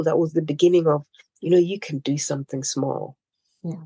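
Here a woman speaks with a dark, mellow tone. The sound is dry and close, without any echo. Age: 40s. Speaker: humanitarian and entrepreneur. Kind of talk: interview.

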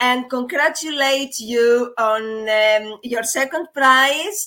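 A woman's bright, sharp, high voice with a non-native accent and ordinary pitch variation. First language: not English. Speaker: podcast host at a language school. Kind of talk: interview; scripted narration. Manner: halting, many fillers.

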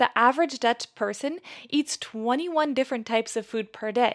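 A high-pitched woman's voice with an American accent, ordinary pitch variation and a moderate pace, in a very clean recording with a silent background and a dry, close sound with no echo. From US Pacific Northwest (near Seattle). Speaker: podcast host. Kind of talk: scripted narration.

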